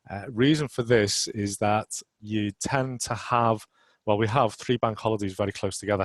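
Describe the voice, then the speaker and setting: Against a quiet background, a man speaks at a moderate pace with a fairly low pitch and fairly even intonation. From northern England, Merseyside. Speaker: road risk manager, webinar presenter. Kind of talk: webinar presentation. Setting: online webinar. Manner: hesitant with fillers.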